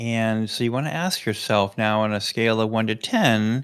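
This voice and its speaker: The recording is very clean, the background silent. A man talks in a relaxed tone at medium pitch. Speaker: life coach and live stream host. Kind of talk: guided tapping tutorial on live stream. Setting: live stream. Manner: slower, relaxed pace.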